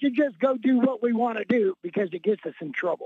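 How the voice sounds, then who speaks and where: Speaking at a moderate pace, the man has a high pitch. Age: 60s. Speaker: caller. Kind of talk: call-in opinion. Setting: phone call.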